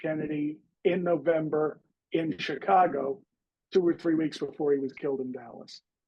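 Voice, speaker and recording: A man's fairly high voice at a moderate pace, fairly even in intonation, an unremarkable speaking voice. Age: 50s. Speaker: author. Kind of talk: interview.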